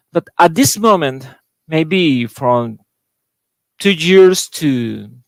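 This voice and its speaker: A man's fairly high voice in a Spanish accent, very slow in pace and lively in intonation, dry and close with no echo. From Costa Rica. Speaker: board game designer. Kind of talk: panel discussion. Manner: halting.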